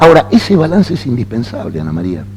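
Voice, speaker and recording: A man's fairly quick speech is heard with noticeable noise behind it. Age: 60s. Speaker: panelist. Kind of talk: panel discussion.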